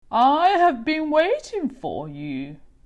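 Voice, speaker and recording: A woman puts on a character voice at a high pitch. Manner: ominous, knowing.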